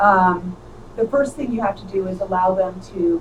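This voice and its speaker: Amid noticeable background noise, a woman talks at a moderate pace and medium pitch. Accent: American. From Arizona. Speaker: teacher running for state superintendent. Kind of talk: interview.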